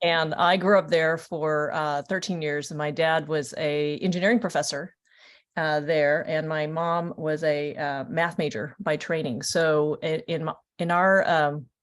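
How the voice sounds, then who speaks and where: A woman with an American accent speaks at a fairly slow pace. Her pitch is very deep and low, with fairly even intonation. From New Orleans then California. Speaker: biotech executive. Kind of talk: panel introduction. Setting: webinar video call.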